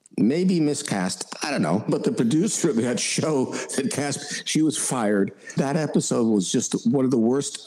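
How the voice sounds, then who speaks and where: Noticeable background noise sits behind the speaker. The intonation is lively. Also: man. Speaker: voice actor. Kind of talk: interview answer. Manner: casual, anecdotal.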